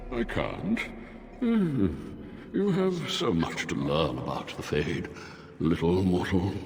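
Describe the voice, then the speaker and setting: Drawling in a put-on character voice, a man speaks at a fairly slow pace with long, frequent pauses, amid clear echo and clear background noise. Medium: video game. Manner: languid, drawling, bored.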